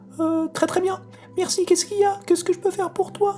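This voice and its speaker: Over clear music in the background, a squeaky, put-on character voice races at a very fast pace with an extremely high pitch. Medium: read story. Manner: fast, repetitive, excitable.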